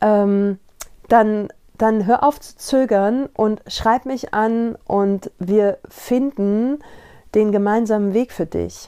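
On a very clean recording with a silent background, a woman speaks at a very slow pace in a dark, mellow tone with fairly even intonation. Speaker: podcast host and coach. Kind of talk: casual monologue. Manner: halting, searching for words.

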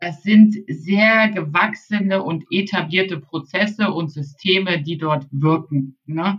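A woman with a fairly low pitch and ordinary pitch variation talks at a very slow pace, somewhat breathy and with hardly any pauses. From northern Germany, Baltic coast. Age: 40s. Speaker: e-commerce consultant. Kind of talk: interview.

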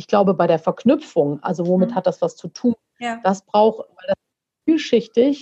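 Somewhat breathy and fairly high, a woman's voice carries a dark, mellow tone, lively intonation and big swings in loudness at a moderate pace, the sound dry and close with no echo. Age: 40s. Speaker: coach and motivational speaker. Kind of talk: podcast interview.

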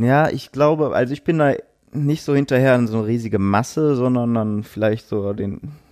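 Here a man has an ordinary speaking voice. He talks at a fairly quick pace with ordinary pitch variation. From Duisburg, Ruhr area, Germany. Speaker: tattoo artist. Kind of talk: interview. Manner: casual.

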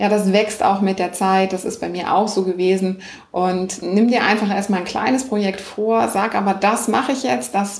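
At a moderate pace and medium pitch, a woman speaks with ordinary pitch variation, with noticeable background noise and audible room echo. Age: 40s. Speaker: online business coach and podcaster. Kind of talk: interview.

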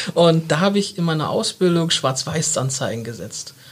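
This man's voice is pitched high and shifts up and down in a typical way. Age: 30s. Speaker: marketing agency partner. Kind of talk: casual interview. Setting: studio.

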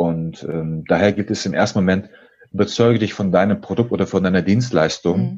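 Pitch moves with ordinary variation. The delivery comes fairly quickly. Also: man, very deep, low pitch for a man. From Germany, Dortmund (Ruhr area). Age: 30s. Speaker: sales trainer and game designer. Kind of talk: interview.

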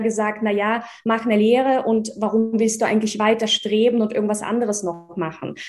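Using an unremarkable speaking voice, a woman with a fairly high pitch speaks at a moderate pace. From Russia (village), born in Czechoslovakia. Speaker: investment educator and entrepreneur. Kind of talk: interview.

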